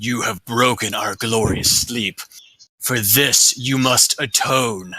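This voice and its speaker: Using a put-on character voice, a man sounds raspy at a medium pitch. He talks at a very slow pace. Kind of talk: archaic, formal. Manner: stern, accusing.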